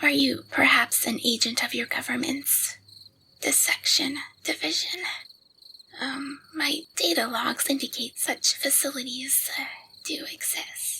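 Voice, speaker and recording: A woman uses a put-on character voice that is soft-spoken and raspy. She talks at a fairly slow pace. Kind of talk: ASMR audio roleplay. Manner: soft-spoken, hesitant.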